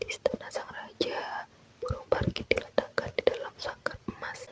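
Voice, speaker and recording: A woman whispers over noticeable background noise. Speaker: ASMR content creator. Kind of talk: folklore storytelling read aloud. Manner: slow, soothing.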